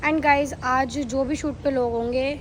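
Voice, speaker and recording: A woman's high voice with audible room echo. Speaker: vlogger. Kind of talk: casual vlog chat.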